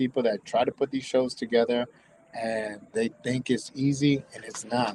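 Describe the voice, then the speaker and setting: Medium in pitch, a man speaks with an American accent. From US South, Tampa, Florida. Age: 50s. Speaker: tattoo shop owner and convention organizer. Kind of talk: casual livestream chat. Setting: live stream from his tattoo shop. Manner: halting, repetitive.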